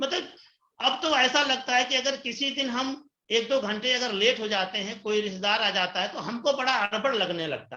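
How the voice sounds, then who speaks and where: In a raised, projected voice, a man speaks at a moderate pace with an extremely high pitch. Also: ordinary pitch variation. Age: 60s. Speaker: retiree turned direct-selling distributor. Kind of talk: interview testimony. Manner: animated.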